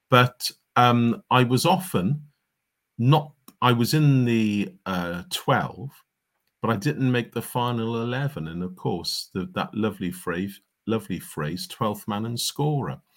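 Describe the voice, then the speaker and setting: With a Cardiff accent, a man speaks at a fairly slow pace. His voice is medium in pitch, and his intonation is lively. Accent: Welsh (Cardiff). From Wales, Cardiff. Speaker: cricket historian and author. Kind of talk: interview.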